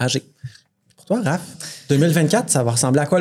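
This man has a normal speaking voice, pitched fairly high with ordinary pitch variation. He talks at a fairly quick pace. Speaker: podcast host. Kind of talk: casual chat. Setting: bar with live audience.

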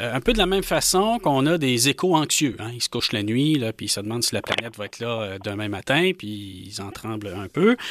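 A man with a plain, everyday voice talks at medium pitch with lively intonation and big swings in loudness. He barely pauses, and the sound is dry and close with no echo. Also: fairly quick pace. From Quebec, Rouyn-Noranda. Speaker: nationalist association leader, political commentator. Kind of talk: political panel discussion. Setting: studio.

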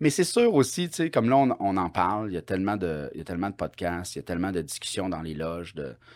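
Fairly quickly, a man talks in a very deep, low pitch. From Quebec, Bas-Saint-Laurent. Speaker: comedian. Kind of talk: casual chat.

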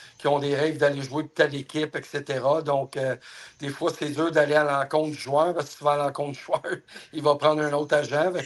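With a fairly high pitch, a man speaks at a fairly quick pace. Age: 50s. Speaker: hockey player agent. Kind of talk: interview.

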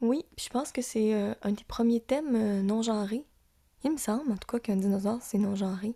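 A woman with a Lac-Saint-Jean accent speaks at a moderate pace and a fairly high pitch, with ordinary pitch variation and a dark, mellow tone, in a dry, close sound with no echo. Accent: Lac-Saint-Jean Quebec French. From Quebec, Lac-Saint-Jean. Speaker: podcast host. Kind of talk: casual chat.

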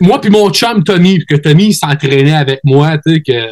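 A somewhat breathy man at a very slow pace, with lively intonation. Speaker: wrestler. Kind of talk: casual interview chat.

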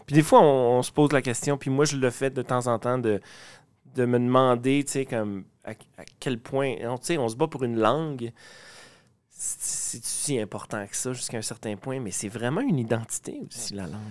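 This man has an unremarkable speaking voice at medium pitch, with ordinary pitch variation, a moderate pace and big swings in loudness. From Lac-Saint-Jean, Quebec. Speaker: podcast host. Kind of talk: interview. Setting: backstage at music event.

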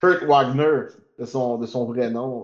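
A man speaks at a very slow pace in a medium pitch. The background is quiet. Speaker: podcast co-host. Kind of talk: casual chat.

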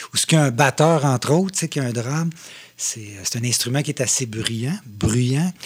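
A man speaks at a medium pitch and moderate pace, with ordinary pitch variation. His voice is somewhat breathy on a very clean recording with a silent background. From Quebec, Mauricie (Shawinigan). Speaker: drummer. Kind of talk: casual chat.

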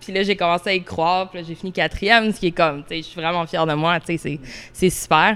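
Her pace is very fast. The woman's medium-pitched voice moves with ordinary pitch variation. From Orléans, Ottawa, Ontario. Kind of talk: casual interview.

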